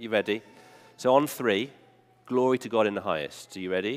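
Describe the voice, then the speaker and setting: A man with an English accent at a medium pitch. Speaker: preacher. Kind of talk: sermon. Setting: church. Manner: conversational, engages the congregation.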